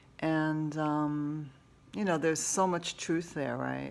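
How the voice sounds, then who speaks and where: Her voice sits very deep and low. The woman's tone holds fairly level. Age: 60s. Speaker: massage therapist and essential oil vlogger. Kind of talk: casual personal vlog monologue. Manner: halting, many fillers.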